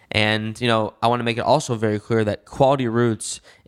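There's an American accent in an ordinary speaking voice, with fairly even intonation. The recording is very clean with a silent background, and the sound is dry and close with no echo. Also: man. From Michigan (West Bloomfield, Detroit area). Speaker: cannabis entrepreneur. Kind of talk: interview.

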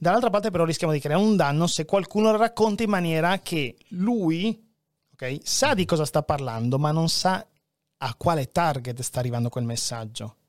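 Moving at a moderate pace with very wide pitch swings, the voice comes through dry and close with no echo on a very clean recording with a silent background. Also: man, high pitch for a man. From Venezuela, Peruvian father, Friulian mother. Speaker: journalist, fact-checker. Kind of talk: casual chat.

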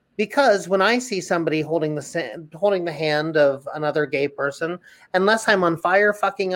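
A woman with a plain, everyday voice, lively intonation and a moderate pace, in a very clean recording with a silent background. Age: 30s. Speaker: Broadway actor. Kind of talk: casual chat.

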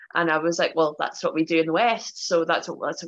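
With a Northern Irish accent, a woman speaks at a very fast pace, her fairly low pitch carrying a bright, sharp tone. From Northern Ireland, Belfast. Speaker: professional wrestler. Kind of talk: casual chat. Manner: talkative.

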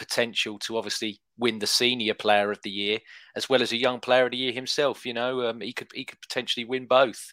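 In an English accent, a man talks at a fairly quick pace and a medium pitch, with a bright, sharp tone and monotone, flat intonation. The sound is dry and close with no echo, and the recording is very clean with a silent background. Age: 30s. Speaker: football podcast co-host. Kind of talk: casual chat.

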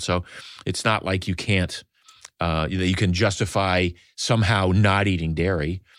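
A man with a very deep, low voice and ordinary pitch variation, captured in a very clean recording with a silent background. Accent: American. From US Northeast (New England). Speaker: wellness entrepreneur and author. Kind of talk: casual interview. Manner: halting, repeats words.

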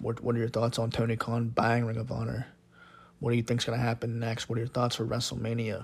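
A man's somewhat breathy, medium-pitched voice in a monotone, flat delivery at a very fast pace. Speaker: wrestling podcast host. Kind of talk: solo podcast monologue.

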